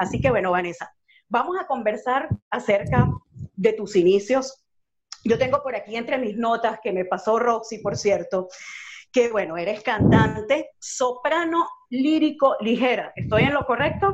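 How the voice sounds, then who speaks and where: Speaking with a Venezuelan accent, a woman with a fairly high pitch uses lively intonation at a fairly slow pace. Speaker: radio host. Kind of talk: radio interview. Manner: warm, enthusiastic.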